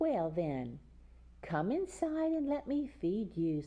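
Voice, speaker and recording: Using a put-on character voice, a woman of medium pitch speaks at a fairly slow pace. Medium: read story. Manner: falsely sweet.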